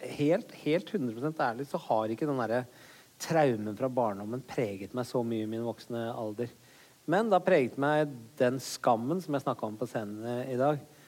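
In an ordinary speaking voice, a man uses a medium pitch, ordinary pitch variation and a moderate pace. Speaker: comedian. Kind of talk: live podcast interview.

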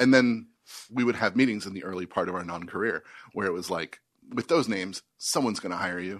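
Over a quiet background, this voice moves at a very fast pace with ordinary pitch variation. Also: man, fairly low pitch for a man. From Washington DC area. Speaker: comedy writer. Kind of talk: casual chat.

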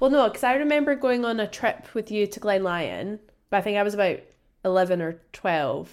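With lively intonation, a woman in a Scottish accent speaks at a medium pitch and a moderate pace. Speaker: podcast host. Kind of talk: casual interview chat.

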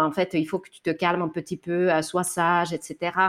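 Speaking at a fairly slow pace, a woman with a medium pitch is heard on a very clean recording with a silent background. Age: 30s. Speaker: author on anti-sexist parenting. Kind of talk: interview. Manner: hesitant, many fillers.

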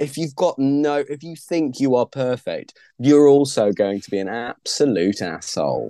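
A man with a British accent and fairly high pitch, lively intonation, a moderate pace and big swings in loudness, in a dry, close sound with no echo and a quiet background. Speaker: stand-up comedian and author. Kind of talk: casual interview chat.

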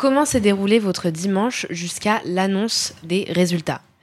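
A woman of medium pitch speaks at a fairly slow pace against noticeable background noise. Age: 20s. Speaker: podcast host. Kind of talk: interview.

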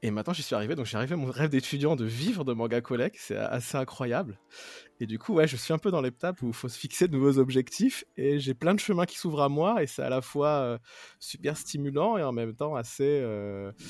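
Here a man with a plain, everyday voice talks at a fairly quick pace, fairly high in pitch with lively intonation. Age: 30s. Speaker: mobile app developer. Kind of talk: casual chat.

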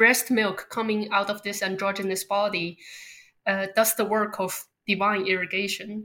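The speaker is a woman with a Chinese accent and a medium pitch. Her tone is bright and sharp, and her pace is moderate. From Beijing, China. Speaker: artist and ice cream maker. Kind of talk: casual interview conversation.

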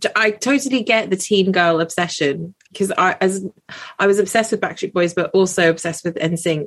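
A woman with a British accent talks at a fairly quick pace. Her pitch is medium with ordinary variation. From UK, British-born Chinese. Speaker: doctor. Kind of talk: casual chat.

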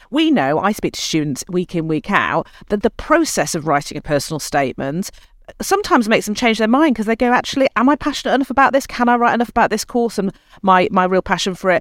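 Recorded dry and close with no echo, a woman with a British accent speaks at a fairly high pitch with very wide pitch swings. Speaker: admissions service chief executive. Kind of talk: interview. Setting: remote video call.

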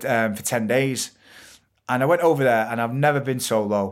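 A man with a Mancunian accent talks at a fairly quick pace. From Manchester, England. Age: 30s. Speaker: entrepreneur and TV presenter. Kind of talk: casual interview chat.

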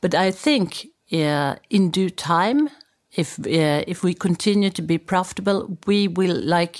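On a very clean recording with a silent background and a dry, close sound without echo, a woman with a Swedish accent speaks at a fairly slow pace with medium pitch. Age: 50s. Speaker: media executive. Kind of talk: interview.

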